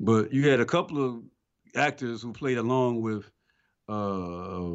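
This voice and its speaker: A man's plain, everyday voice, fairly low in pitch with ordinary variation, at a fairly slow pace. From Atlanta, Georgia, US South. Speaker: film podcast co-host. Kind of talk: casual chat.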